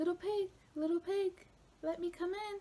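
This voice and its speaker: In a put-on character voice, a woman sounds squeaky at an extremely high pitch, with monotone, flat intonation and a moderate pace. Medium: read story. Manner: scheming, boastful.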